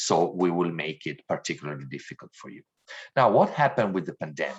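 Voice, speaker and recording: A man with an Italian accent speaks at a fairly quick pace against a quiet background. His pitch is very deep and low. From Italy. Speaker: diversity trainer. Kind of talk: training lecture.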